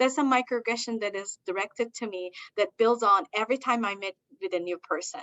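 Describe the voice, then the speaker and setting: A woman speaks at a fairly quick pace. Her pitch is fairly high, with ordinary variation. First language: not English; English is her third language. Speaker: diversity consultant and university lecturer. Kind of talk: presentation.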